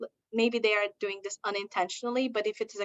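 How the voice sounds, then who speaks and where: Speaking at a very fast pace, a woman keeps to a medium pitch. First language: not English; English is her third language. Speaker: diversity consultant and university lecturer. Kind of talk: presentation.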